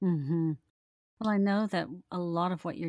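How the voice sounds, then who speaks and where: A woman speaks at a fairly low pitch with a warm tone and fairly even intonation. The very clean recording has a silent background and a dry, close sound with no echo. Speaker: podcast host. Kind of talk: interview. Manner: warm, loving tone.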